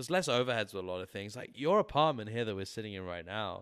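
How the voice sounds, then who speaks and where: Speaking very fast with an English accent and lively intonation, a man comes through on a very clean recording with a silent background. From England. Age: 30s. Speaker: musician. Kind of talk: casual chat.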